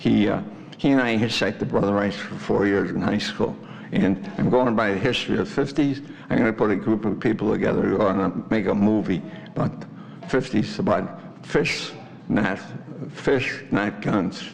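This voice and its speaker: There is audible room echo and noticeable background noise as a man speaks in a fairly low pitch. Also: ordinary pitch variation, moderate pace. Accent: American. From Chicago, US Midwest. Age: 80s+. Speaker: resident at public comment. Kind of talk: public comment at village board meeting. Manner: rambling, halting.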